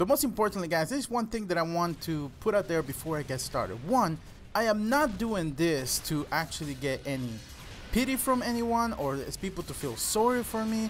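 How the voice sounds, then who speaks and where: Music plays behind a man talking at a fairly quick pace. His voice sits high and swings very widely in pitch. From El Salvador. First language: Spanish. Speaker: gaming YouTuber. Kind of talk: personal storytelling vlog.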